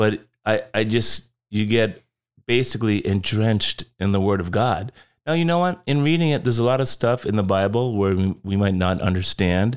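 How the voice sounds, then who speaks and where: An unremarkable speaking voice, a man talks at a moderate pace and fairly low pitch with lively intonation and very even loudness, in a very clean recording with a silent background. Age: 50s. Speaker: Bible teacher and rideshare driver. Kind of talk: casual chat. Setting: studio.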